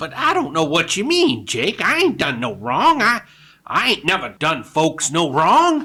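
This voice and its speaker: A put-on character voice sits at a middle pitch and moves at a moderate pace. The recording is very clean, with a silent background. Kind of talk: radio drama. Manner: stammering, fearful.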